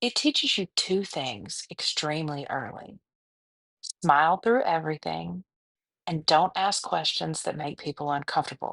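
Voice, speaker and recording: With a Southern US accent, a woman with very deep, low pitch and vocal fry speaks with lively intonation, in a dry, close sound with no echo. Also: moderate pace, quiet background. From US South. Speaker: podcast host. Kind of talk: scripted podcast monologue.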